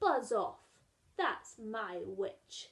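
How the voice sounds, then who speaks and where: Doing a put-on character voice, a woman growls in a fairly high, croaky pitch. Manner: menacing, commanding.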